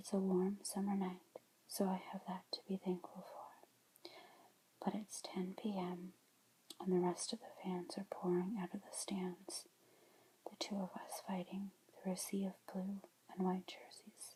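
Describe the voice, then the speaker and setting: A somewhat breathy woman with a dark, mellow tone at a medium pitch, fairly slow and monotone, with big swings in loudness and long, frequent pauses. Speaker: ASMR creator. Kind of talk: book reading, ASMR. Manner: whispered, soft-spoken.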